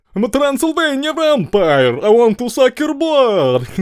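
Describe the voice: A man puts on a character voice with an extremely high pitch. He speaks at a moderate pace.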